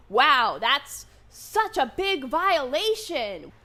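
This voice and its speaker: In a raised, projected voice, a woman speaks with a bright, sharp tone and very wide pitch swings. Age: 20s. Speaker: vlogger. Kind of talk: unscripted monologue.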